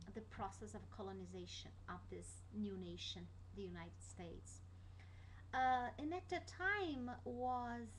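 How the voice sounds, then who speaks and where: At a fairly slow pace, a woman speaks with a Brazilian Portuguese accent amid noticeable background noise and audible room echo. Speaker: student. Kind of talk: class presentation. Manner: halting, many fillers.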